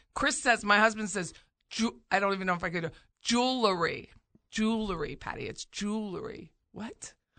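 In an American accent, a woman speaks at a moderate pace with a fairly high pitch and a bright, sharp tone that is animated, her pitch varying in an ordinary way. Her loudness swings widely, and the background is quiet. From Pennsylvania, US Northeast. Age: 50s. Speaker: real estate radio show host. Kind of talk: casual radio talk show chat. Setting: radio studio. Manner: animated, laughs often.

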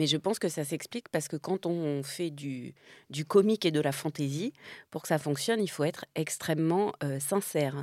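A woman speaks with a very deep, low pitch, ordinary pitch variation, and a moderate pace. The recording is very clean with a silent background, and the sound is dry and close with no echo. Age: 50s. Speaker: actress and comedian. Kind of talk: casual chat.

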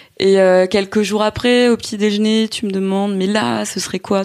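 A woman talks at a fairly quick pace. She has a normal speaking voice. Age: 30s. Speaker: entrepreneur, former journalist. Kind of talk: casual chat.

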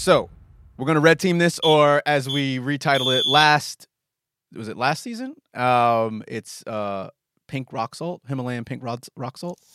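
On a very clean recording with a silent background and a dry, close sound with no echo, a man with a fairly high pitch and a bright, sharp tone speaks at a fairly slow pace, using ordinary pitch variation and big swings in loudness. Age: 30s. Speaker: podcast co-host. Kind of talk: casual chat.

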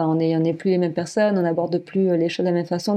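Delivered at a very fast pace, the voice has a dark, mellow tone and a monotone, flat intonation. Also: woman. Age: 30s. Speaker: adoptive parent-to-be. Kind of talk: testimony. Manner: halting.

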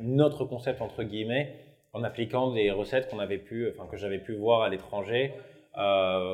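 In an ordinary speaking voice, a man talks at a medium pitch and moderate pace with fairly even intonation. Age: 20s. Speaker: bakery co-owner. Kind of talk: interview.

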